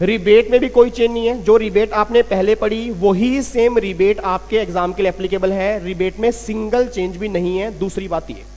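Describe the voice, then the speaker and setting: Music plays in the background as a man talks at a high pitch. His pace is fairly slow, with hardly any pauses and fairly even intonation. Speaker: accountancy exam teacher. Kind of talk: lecture.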